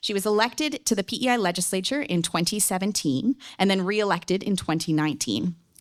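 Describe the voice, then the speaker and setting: The speaker talks at a very fast pace in a Newfoundland accent, with hardly any pauses. The intonation is lively. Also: woman, medium pitch for a woman. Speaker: debate moderator. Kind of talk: moderating a public debate. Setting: stage with audience.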